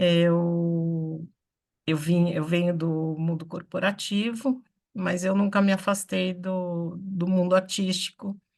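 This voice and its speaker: This woman has a plain, everyday voice. Her pitch is fairly low, and her intonation is fairly even. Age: 60s. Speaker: theatre artist. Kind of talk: online meeting discussion. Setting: video call from home office.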